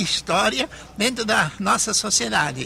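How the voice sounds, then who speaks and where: A man's raised, projected voice, fairly slow, with very wide pitch swings over noticeable background noise. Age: 70s. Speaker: bishop. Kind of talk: interview.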